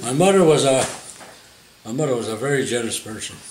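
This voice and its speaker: At a moderate pace, a man with a medium pitch speaks with lively intonation over noticeable background noise. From Montreal, Canada. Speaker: retiree. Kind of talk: interview answer.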